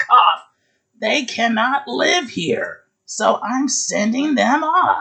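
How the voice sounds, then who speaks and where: Putting on a character voice, a man speaks very slowly in an extremely high, croaky pitch. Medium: read story. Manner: scolding, indignant.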